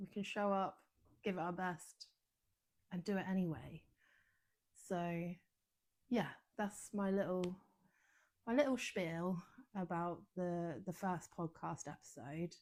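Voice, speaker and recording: A fairly slow British accent with ordinary pitch variation and long, frequent pauses. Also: woman, fairly low pitch for a woman. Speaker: wellness coach podcaster. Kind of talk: casual podcast monologue. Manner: hesitant, lots of ums and pauses.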